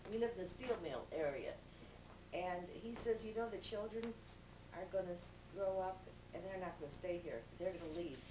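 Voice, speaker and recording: With medium pitch and ordinary pitch variation, a woman talks at a moderate pace with long, frequent pauses, amid audible room echo and noticeable background noise. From Southern California, born in Chicago. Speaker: interviewee recalling family history. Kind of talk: oral history interview. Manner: halting.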